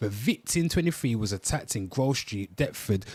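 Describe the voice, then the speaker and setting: On a very clean recording with a silent background, a man with a Birmingham accent speaks with lively intonation. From Birmingham, England. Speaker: livestream host. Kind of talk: reading news aloud.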